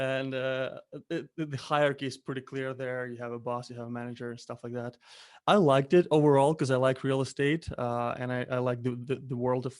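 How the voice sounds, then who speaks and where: Speaking in a Ukrainian accent at a fairly quick pace, the voice keeps fairly even intonation over a quiet background. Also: man. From Ukraine. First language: Ukrainian or Russian. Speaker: Amazon seller, entrepreneur. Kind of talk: interview. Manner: halting.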